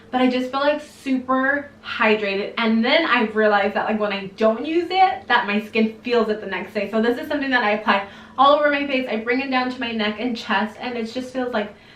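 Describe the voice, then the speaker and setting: A woman's high voice at a fairly quick clip, ordinary pitch variation, hardly any pauses, and noticeable background noise. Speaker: beauty vlogger. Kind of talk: casual product review vlog. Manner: fast.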